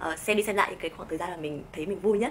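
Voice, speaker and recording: Lively intonation marks a woman's medium-pitched voice as she speaks at a very fast pace. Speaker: vlogger. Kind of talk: vlog advice talk. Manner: animated.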